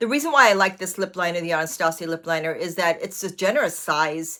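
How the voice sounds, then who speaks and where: Intonation is lively and the pace fairly quick. The tone is bright and sharp. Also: woman. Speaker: brow artist. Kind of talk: tutorial. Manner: fast.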